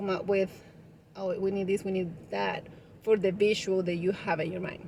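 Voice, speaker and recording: A woman speaks with a strong Spanish accent. Her pitch is medium. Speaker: vlogger, party decoration business owner. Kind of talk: casual vlog talk. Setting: parked car.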